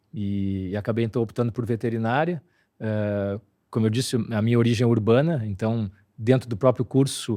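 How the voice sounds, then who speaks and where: The voice has a dark, mellow tone and fairly even intonation. It moves at a moderate pace over a quiet background. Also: man. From southern Brazil, Porto Alegre. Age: 60s. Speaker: veterinarian. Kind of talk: interview conversation. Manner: hesitant, many fillers.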